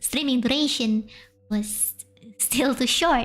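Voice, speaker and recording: Noticeable background noise runs under this recording. A woman with a high pitch speaks in an Indonesian accent. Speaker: VTuber streamer. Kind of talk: casual live stream storytelling. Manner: halting, frequent restarts.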